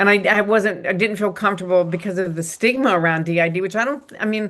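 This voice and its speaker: A woman speaks at a very fast pace. Her pitch is medium, with ordinary pitch variation. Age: 70s. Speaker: psychotherapist and author. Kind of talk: interview conversation. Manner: halting.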